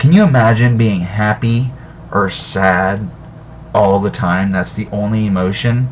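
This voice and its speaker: At a fairly slow pace, a man with a fairly low pitch speaks amid noticeable background noise and audible room echo. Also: ordinary pitch variation. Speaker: video blogger. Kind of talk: monologue to webcam. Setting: webcam at home. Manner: halting, stammering. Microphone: webcam, poor quality.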